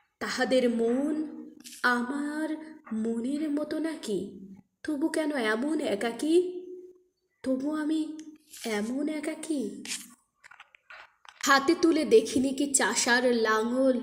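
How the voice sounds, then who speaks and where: Soft-spoken and high-pitched, a woman talks with ordinary pitch variation. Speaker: poetry reciter. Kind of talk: poetry reading.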